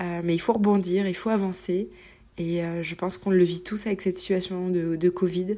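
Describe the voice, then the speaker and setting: A woman's dark, mellow voice, medium in pitch, at a moderate pace with monotone, flat intonation, in a very clean recording with a silent background. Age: 30s. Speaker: journalist and adventurer. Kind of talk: interview. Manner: halting.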